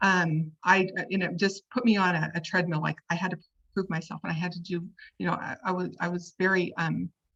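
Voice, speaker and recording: A woman speaks fairly quickly in an American accent with a fairly low pitch. Her voice has vocal fry and monotone, flat intonation. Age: 60s. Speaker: interview guest sharing personal story. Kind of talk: testimony. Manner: halting, many repeated words and fillers.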